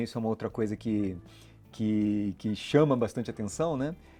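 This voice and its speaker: With a dark, mellow tone and medium pitch, a man speaks at a fairly quick pace with ordinary pitch variation against a quiet background. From Rio de Janeiro, Brazil (born São Paulo). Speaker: financial regulator official. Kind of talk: interview. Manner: many fillers (né, é), hesitant.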